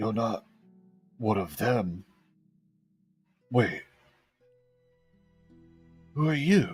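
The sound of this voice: A man uses a put-on character voice, strained and at medium pitch, speaking at a very slow pace with long, frequent pauses. Faint music plays in the background.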